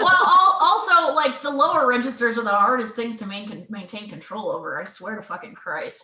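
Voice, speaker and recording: A high-pitched woman's voice with very wide pitch swings, big swings in loudness and hardly any pauses. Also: fairly quick pace. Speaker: comedy music group member. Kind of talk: casual chat.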